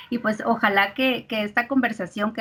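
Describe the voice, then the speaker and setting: A woman talks at a moderate speed, fairly high in pitch, and her pitch varies in an ordinary way. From Mexico. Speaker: industrial psychologist and recruiter. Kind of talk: interview. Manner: hesitant, many filler words.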